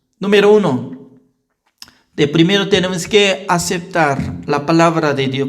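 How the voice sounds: This man's voice sits fairly high in pitch, with ordinary pitch variation. He speaks at a fairly slow pace.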